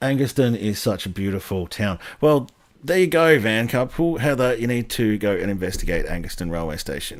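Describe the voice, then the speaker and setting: On a very clean recording with a silent background, a man with a Sydney accent speaks at a medium pitch and moderate pace, his pitch swinging very widely. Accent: some Sydney. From Australia, Western Sydney. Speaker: railway history YouTuber, live stream host. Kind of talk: casual live stream chat. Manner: hesitant, many ums and uhs.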